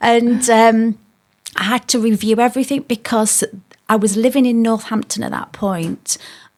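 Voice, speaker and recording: A woman with a Yorkshire accent speaks at a moderate pace in a fairly high voice, her intonation flat and monotone, on a very clean recording with a silent background. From South Yorkshire, England. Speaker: former police officer, business owner. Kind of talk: podcast interview.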